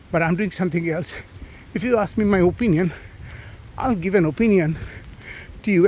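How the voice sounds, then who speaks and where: A man's high-pitched voice at a very fast pace. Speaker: doctor vlogger. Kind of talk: casual monologue while out running. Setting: outdoors.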